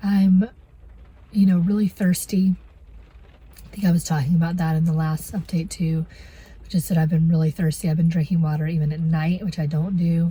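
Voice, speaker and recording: A woman speaks with a fairly low pitch and a somewhat breathy voice. Her intonation stays monotone and flat, broken by long, frequent pauses. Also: moderate pace. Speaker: vlogger. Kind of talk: casual vlog talk. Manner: halting, many fillers.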